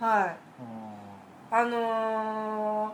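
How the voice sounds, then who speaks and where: A woman's fairly high voice amid audible room echo and noticeable background noise. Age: 30s. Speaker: podcast guest, aquarium hobbyist. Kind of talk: casual chat.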